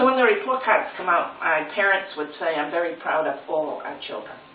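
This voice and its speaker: Over noticeable background noise, a woman with a fairly low pitch speaks at a moderate pace with lively intonation. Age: 70s. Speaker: retired reading teacher. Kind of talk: interview answer.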